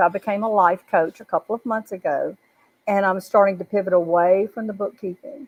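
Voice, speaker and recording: Speaking fairly quickly, a woman uses a plain, everyday voice at a medium pitch. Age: 60s. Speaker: life coach. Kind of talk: panel testimony. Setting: live video broadcast.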